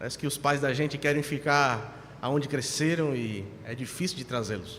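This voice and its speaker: Over audible room echo, a man with a fairly high voice speaks at a moderate pace with ordinary pitch variation. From Brazil, São Paulo. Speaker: pastor. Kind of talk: sermon. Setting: church.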